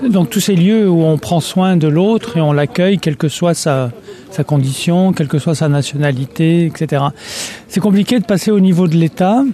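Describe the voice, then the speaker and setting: Over noticeable background noise, a man with a high pitch speaks at a moderate pace, keeping his loudness very even and his pitch variation ordinary. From France. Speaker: anthropologist. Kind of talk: interview.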